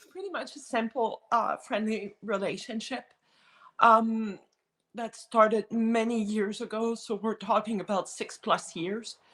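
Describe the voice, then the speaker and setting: A woman with a French Canadian accent speaks at a fairly slow pace, her fairly high pitch carried in fairly even intonation. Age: 50s. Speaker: guest sharing personal experience. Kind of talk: testimony in casual chat.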